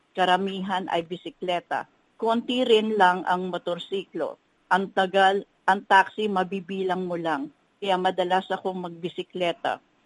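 A woman with an ordinary speaking voice talks fairly slowly at a medium pitch, her intonation fairly even and the sound dry and close with no echo. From Philippines. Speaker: hotel executive. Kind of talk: interview.

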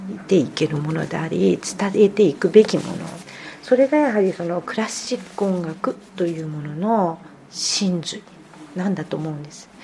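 A woman's fairly low voice with big swings in loudness, lively intonation and a moderate pace, over noticeable background noise. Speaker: pianist. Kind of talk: interview. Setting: at home.

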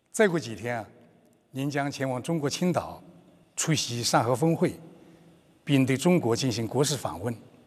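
A man at medium pitch with lively intonation, a moderate pace and long, frequent pauses. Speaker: media executive interviewer. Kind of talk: formal interview in Chinese.

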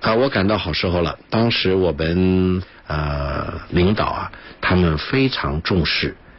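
Over noticeable background noise, a man with a very deep, low pitch and ordinary pitch variation talks at a very slow pace. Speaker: international relations commentator and former diplomatic interpreter. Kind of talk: radio interview. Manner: frequent filler sounds, measured pace.

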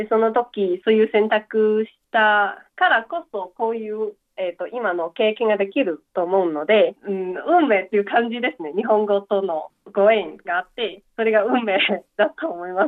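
Using a Chinese accent, a woman speaks at a fairly high pitch and a moderate pace with ordinary pitch variation. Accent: Chinese-accented Japanese. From eastern Guangdong, China (Chaoshan). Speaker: university student. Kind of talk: advice call interview. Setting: phone call.

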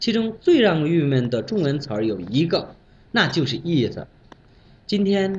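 A somewhat breathy man talks at a moderate pace. His pitch swings very widely. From Bangladesh. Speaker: Chinese language learner. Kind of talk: prepared talk with told anecdote. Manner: animated.

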